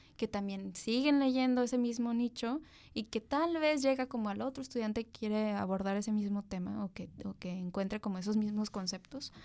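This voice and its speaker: A woman with a fairly high voice speaks at a moderate pace on a very clean recording with a silent background. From Tijuana, Mexico. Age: 30s. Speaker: journalist. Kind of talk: casual chat.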